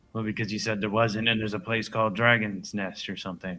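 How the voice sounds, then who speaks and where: A man puts on a character voice with a fairly low pitch. He rattles along at a very fast pace in a monotone, flat delivery. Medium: actual play.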